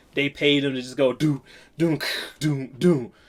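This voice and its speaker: A man's fairly high-pitched voice in an animated tone. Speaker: music producer reacting to songs. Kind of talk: music reaction commentary. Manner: casual, animated; loud.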